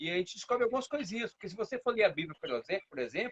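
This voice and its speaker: A man's high-pitched voice at a very fast pace, in dry, close sound with no echo. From Brazil, Brasília. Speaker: capoeira master. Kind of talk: casual interview.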